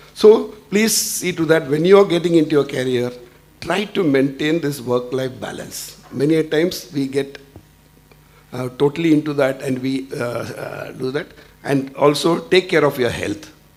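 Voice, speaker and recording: The man's pitch is fairly high, with ordinary pitch variation. Noticeable background noise runs underneath. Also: moderate pace. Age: 60s. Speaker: industry executive. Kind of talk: panel discussion. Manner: halting.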